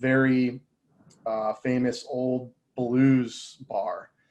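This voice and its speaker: A man with an American accent talks in a medium pitch with monotone, flat intonation. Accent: slight country twang, comes and goes. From Indiana. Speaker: audiovisual industry partner manager. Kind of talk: casual interview chat.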